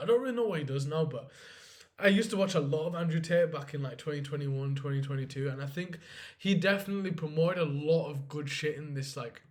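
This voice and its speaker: An animated man speaks very fast at a fairly high pitch, with audible room echo. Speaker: finance vlogger. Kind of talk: casual vlog monologue. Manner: unscripted, unedited.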